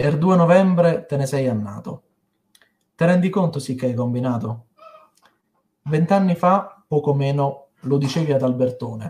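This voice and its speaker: Over a quiet background, a man talks at a fairly slow pace and a fairly high pitch, with ordinary pitch variation and long, frequent pauses. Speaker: poet. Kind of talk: poetry reading. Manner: emotional, heartfelt. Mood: tender, mournful tribute. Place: home room. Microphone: webcam.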